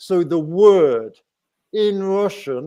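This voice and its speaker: With an English accent, this man's dark, mellow tone carries lively intonation. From England. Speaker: YouTuber. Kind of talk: live stream chat. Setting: live stream.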